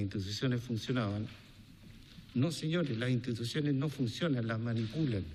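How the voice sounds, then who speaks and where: The room echo is audible. A man talks within it. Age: 60s. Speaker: businessman testifying before a congressional commission. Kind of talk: testimony.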